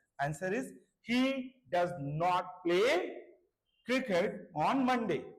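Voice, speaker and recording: A man's high-pitched, very slow voice with lively intonation and audible room echo. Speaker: English grammar teacher. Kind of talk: lecture.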